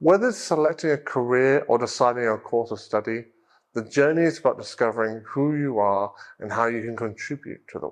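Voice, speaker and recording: Over a quiet background, a man with an ordinary speaking voice talks at a fairly quick pace and a medium pitch with lively intonation. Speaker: English exam teacher. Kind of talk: reading aloud; tutorial.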